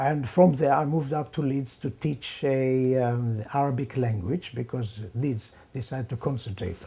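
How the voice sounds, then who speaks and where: The voice has a dark, mellow tone and is somewhat breathy, in an Israeli accent. The pace is moderate and the pitch variation ordinary. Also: man. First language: Hebrew. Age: 70s. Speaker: professor. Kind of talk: interview. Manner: halting.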